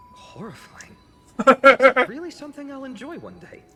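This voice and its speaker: Mumbling at a moderate pace, a woman puts on a character voice at a high pitch while music plays in the background. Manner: mumbling to self.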